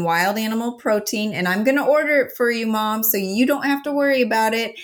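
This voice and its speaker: A woman speaks at a fairly quick pace with ordinary pitch variation. Hers is an ordinary speaking voice. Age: 40s. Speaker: health coach and supplement expert. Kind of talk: interview.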